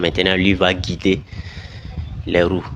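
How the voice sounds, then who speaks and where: Noticeable background noise sits behind this man's voice. His pitch is very deep and low, and his pace is fairly slow. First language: not French (speaking French). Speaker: video commentator. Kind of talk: video commentary.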